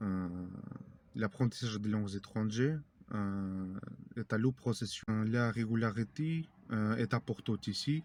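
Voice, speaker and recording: Spoken in a Russian accent, the delivery is fairly slow, with ordinary pitch variation and long, frequent pauses. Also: man, fairly low pitch for a man. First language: Russian (speaking French). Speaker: language learning youtuber. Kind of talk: tutorial. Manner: halting, many hesitations.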